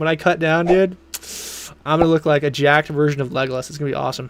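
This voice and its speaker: A man's fairly high voice at a very fast pace, with music in the background. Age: 20s. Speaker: game streamer. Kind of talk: live gameplay commentary. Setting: live stream. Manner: casual, animated.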